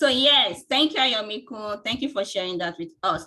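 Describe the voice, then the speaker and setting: Her bright, sharp voice sitting fairly high, a woman moves through very wide pitch swings. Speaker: webinar host. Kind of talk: webinar moderation. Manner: animated.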